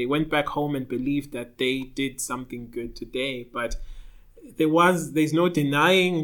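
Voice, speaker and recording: Using an unremarkable speaking voice, a man talks at a fairly slow pace with a fairly high pitch. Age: 30s. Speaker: photographer and videographer. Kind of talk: podcast discussion.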